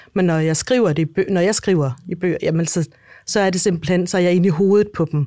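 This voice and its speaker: At a fairly quick pace, a woman with a fairly low pitch and a dark, mellow tone speaks with ordinary pitch variation and very even loudness, in a very clean recording over a silent background. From Denmark. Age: 40s. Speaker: author. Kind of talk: interview. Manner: halting.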